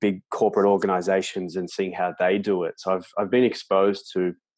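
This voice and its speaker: Here is a man with an Australian accent. His voice is very deep and low. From Australia, Melbourne. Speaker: sports coach and author. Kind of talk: interview. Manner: halting, many repetitions.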